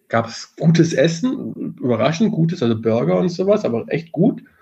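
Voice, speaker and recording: A man speaks with lively intonation and a somewhat breathy sound. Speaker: podcast co-host. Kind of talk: casual chat.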